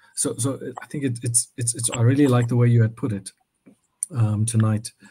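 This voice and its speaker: A man talks at a moderate pace with a medium pitch and fairly even intonation. His tone is dark, mellow and somewhat breathy. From South Africa. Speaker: purpose coach. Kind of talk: casual discussion. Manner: halting.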